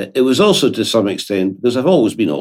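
A man talks with a Scottish accent. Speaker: lawyer. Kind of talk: interview.

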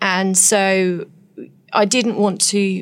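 A woman's medium-pitched voice with an English accent and vocal fry. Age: 40s. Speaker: nurse and author. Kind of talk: interview.

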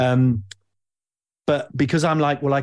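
Against a quiet background, a man speaks with an East Midlands accent. His voice is somewhat breathy, at a moderate pace. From Nottingham, England. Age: 40s. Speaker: podcast host. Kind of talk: casual chat.

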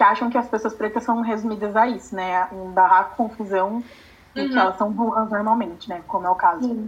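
A woman's somewhat breathy, fairly high voice, fairly quick in pace, with fairly even intonation. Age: 20s. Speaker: law student, activist. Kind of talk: interview.

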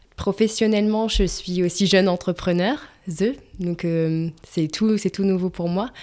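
At a fairly slow pace, a woman speaks in a medium pitch with a dark, mellow tone and fairly even intonation. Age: 20s. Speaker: digital project manager and co-founder. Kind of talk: interview. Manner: halting, many repetitions and fillers.

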